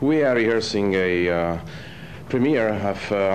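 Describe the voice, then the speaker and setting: A man with a Romanian accent, with audible room echo. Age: 30s. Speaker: opera singer. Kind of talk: interview. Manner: halting, many filler words.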